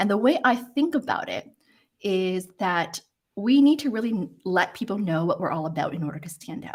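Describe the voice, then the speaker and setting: A woman speaks at a moderate pace in a somewhat breathy voice, her pitch swinging very widely. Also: medium pitch for a woman, big swings in loudness. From Hong Kong. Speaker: career coach. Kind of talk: interview. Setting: live stream. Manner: hesitant.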